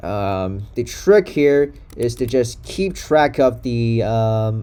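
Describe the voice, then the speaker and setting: A man speaks very slowly while noticeable background noise carries on around him. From Taiwan. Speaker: software engineer. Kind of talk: coding tutorial. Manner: hesitant, many fillers.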